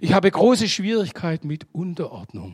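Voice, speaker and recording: This man's high voice moves at a moderate pace and shows very wide pitch swings. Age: 60s. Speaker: guest preacher. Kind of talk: sermon.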